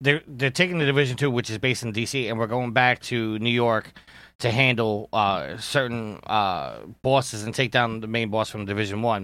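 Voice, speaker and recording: A man speaks in an ordinary speaking voice at a medium pitch and a moderate pace. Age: adult. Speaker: gaming podcaster. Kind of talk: casual chat.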